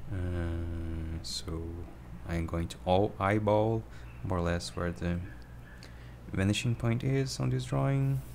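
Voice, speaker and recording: Very slow delivery with long, frequent pauses and audible room echo. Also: man, very deep, low pitch for a man. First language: not English. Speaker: drawing tutorial streamer. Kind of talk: tutorial. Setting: livestream. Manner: halting. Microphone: poor microphone.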